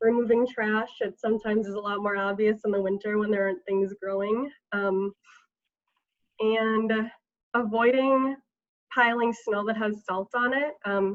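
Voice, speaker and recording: Leaving long, frequent pauses, a woman speaks at a moderate pace in a fairly high pitch with fairly even intonation. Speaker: watershed district staff presenter. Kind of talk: webinar presentation.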